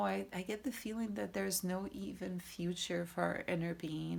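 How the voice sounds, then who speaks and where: A woman with a Portuguese accent, medium pitch, a fairly slow pace, and a very clean recording against a silent background. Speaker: tarot reader. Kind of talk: tarot reading. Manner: halting.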